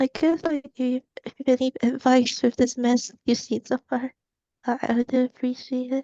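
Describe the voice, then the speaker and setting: Quiet and flat, a woman speaks at a moderate pace in a high voice with a dark, mellow tone, recorded dry and close with no echo. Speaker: animator seeking portfolio review. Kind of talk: portfolio review on video call. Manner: halting.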